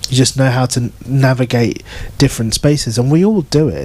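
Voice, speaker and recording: Here a man speaks with a British accent at a moderate pace. His pitch is medium, with ordinary variation. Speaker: novelist. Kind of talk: book event Q&A. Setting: bookshop event with audience.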